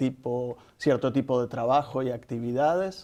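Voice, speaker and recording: A man with an Argentine accent, dark and mellow in tone, fairly slow, with fairly even intonation. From Argentina. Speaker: nonprofit executive director. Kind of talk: interview.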